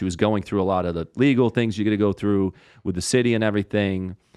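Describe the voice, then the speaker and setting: In a Rhode Island accent, a man speaks at a fairly low pitch and a fairly quick pace. His pitch varies in an ordinary way, and the background is quiet. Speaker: comedian. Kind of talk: casual chat. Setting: studio.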